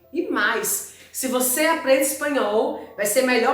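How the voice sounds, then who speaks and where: Speaking at a fairly slow pace with ordinary pitch variation, a woman is heard with audible room echo and noticeable background noise. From Brazil. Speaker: school Spanish teacher. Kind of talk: online lesson.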